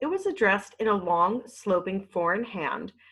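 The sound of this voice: Lively intonation colors the reading, which stays in an unforced voice.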